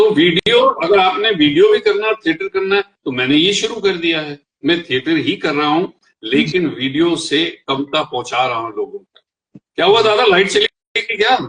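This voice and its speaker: A man talks in a high voice with lively intonation and big swings in loudness. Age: 70s. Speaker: veteran theatre actor. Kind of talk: panel discussion on acting.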